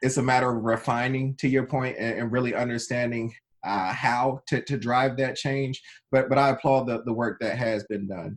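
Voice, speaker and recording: A man's unremarkable speaking voice at a moderate pace, with fairly even intonation. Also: medium pitch for a man. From North Carolina (Wilson), born in Trenton, New Jersey. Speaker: tech executive. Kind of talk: interview.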